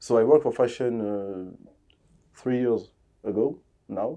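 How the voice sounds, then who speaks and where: In a French accent, a man with a dark, mellow tone and medium pitch speaks at a very slow pace with ordinary pitch variation against a quiet background. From DR Congo, Kinshasa. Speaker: fashion designer and stylist. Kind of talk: interview. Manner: halting, many fillers.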